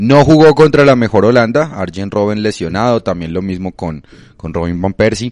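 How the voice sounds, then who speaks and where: Against a quiet background, a man with a fairly low pitch and lively intonation uses an ordinary speaking voice. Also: moderate pace. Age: 20s. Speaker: football podcast co-host. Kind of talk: casual chat.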